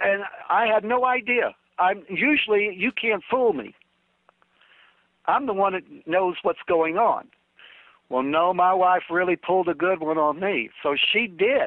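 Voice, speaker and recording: Speaking fairly slowly in an American accent, the speaker leaves long, frequent pauses. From New York. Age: 60s. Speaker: oldies radio DJ. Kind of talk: interview. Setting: video call. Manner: halting.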